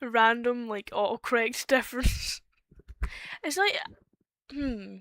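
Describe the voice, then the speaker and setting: Speaking very slowly with a Scottish accent, a woman has a high-pitched, bright, sharp tone, recorded with a dry, close sound with no echo. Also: ordinary pitch variation. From Scotland. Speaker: streamer. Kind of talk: casual chat.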